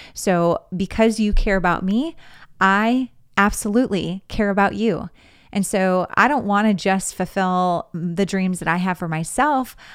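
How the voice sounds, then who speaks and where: At a moderate pace, with an American accent, an ordinary speaking voice with ordinary pitch variation comes through on a very clean recording with a silent background. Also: woman. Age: 40s. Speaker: podcast host and fundraising coach. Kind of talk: solo podcast monologue.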